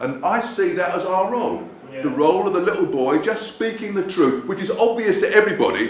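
A man speaks at a very fast pace with audible room echo and light background noise. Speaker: speaker. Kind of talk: speech to a meeting. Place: hall. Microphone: camera far.

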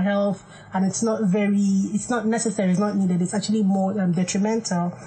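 A woman talks very fast at a medium pitch, somewhat breathy and in a monotone, flat intonation. The background is quiet. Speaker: clinical psychologist. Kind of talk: radio talk show. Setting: studio. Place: studio.

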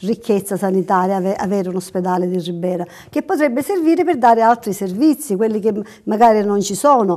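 With a quiet background behind her, a woman uses lively intonation at a moderate pace. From Sicily. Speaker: patients' rights advocate. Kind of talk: interview. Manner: halting.

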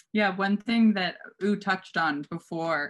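Over a quiet background, a woman talks with an American accent. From US Midwest, Minnesota. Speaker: art curator; art dealer presenting a lecture. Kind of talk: lecture. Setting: video call. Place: home room. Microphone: webcam.

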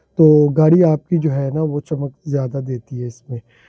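In a dry, close recording with no echo, a man with a slightly husky edge talks at a moderate pace in a fairly high pitch, his intonation fairly even.

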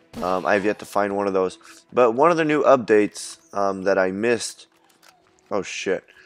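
A man's fairly low voice over music in the background. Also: ordinary pitch variation, moderate pace. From Belgium. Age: 20s. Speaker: gaming YouTuber. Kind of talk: let's play commentary. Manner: many filler words and restarts; animated.

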